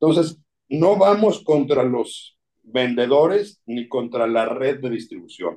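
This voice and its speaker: At a very slow pace, the voice has a dark, mellow tone and lively intonation. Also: man, medium pitch for a man. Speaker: addiction specialist and writer. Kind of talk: interview.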